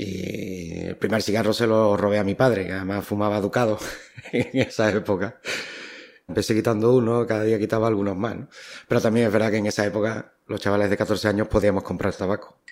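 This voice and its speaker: Talking at a fairly quick pace, a man uses a fairly low pitch and monotone, flat intonation. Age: 50s. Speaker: smoker trying to quit. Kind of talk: voice note diary. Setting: voice note recording.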